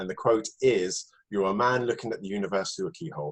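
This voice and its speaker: Using a normal speaking voice at a medium pitch, a man talks at a fairly quick pace with lively intonation. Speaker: podcast host. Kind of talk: podcast interview question.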